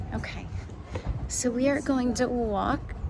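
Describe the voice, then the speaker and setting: A woman speaks at a high pitch. Background noise is noticeable. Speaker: travel vlogger. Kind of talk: casual vlog narration. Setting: walking outdoors and around a hotel. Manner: whispering.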